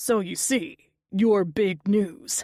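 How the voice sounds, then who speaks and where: A woman uses a put-on character voice at a medium pitch. It sounds gravelly and raspy. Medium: read story. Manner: sly, cryptic.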